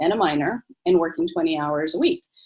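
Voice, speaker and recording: Here is an ordinary speaking voice from a woman. Her pitch is fairly low, with ordinary pitch variation. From US, born in Egypt. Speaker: physician. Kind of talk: interview.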